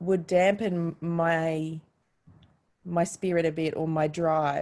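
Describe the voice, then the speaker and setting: This woman's voice has a dark, mellow tone and a fairly low pitch. Her intonation is fairly even. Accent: Australian. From Australia, Queensland. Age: 30s. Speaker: jazz vocalist and educator. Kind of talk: interview. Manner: hesitant, many fillers.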